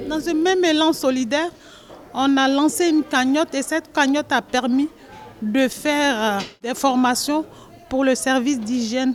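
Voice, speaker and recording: Here a woman talks at a fairly slow pace. Her intonation is lively. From Ivory Coast. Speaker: association cook. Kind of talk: interview.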